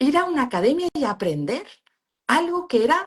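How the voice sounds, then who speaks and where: Speaking in a Valencian accent, a woman moves at a moderate pace with very wide pitch swings. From Valencia region, Spain. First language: Valencian (speaking Spanish). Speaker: pain therapist and university lecturer. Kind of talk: interview. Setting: live stream video call.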